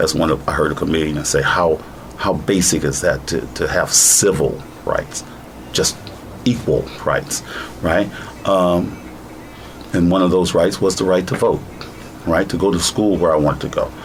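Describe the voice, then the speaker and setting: There is noticeable background noise as a man speaks at a moderate pace. He leaves long, frequent pauses. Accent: American. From United States. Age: 60s. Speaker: plaintiff in a civil rights case. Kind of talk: interview.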